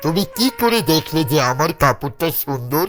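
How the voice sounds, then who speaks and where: A man's cartoonish character voice, fairly high-pitched with very wide pitch swings and a moderate pace, over faint music in the background. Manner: domineering, threatening.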